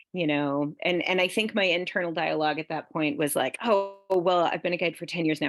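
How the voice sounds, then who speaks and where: With music playing behind her, a woman speaks at a fairly quick pace in a fairly low pitch, using ordinary pitch variation and hardly pausing at all. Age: middle-aged. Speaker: whitewater instructor and business owner. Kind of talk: panel discussion.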